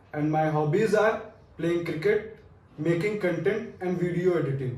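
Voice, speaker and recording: A man's high-pitched voice with an Indian accent, at a moderate pace. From Fatehpur, Uttar Pradesh, India. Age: 20s. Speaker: business school student. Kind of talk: video resume self-introduction.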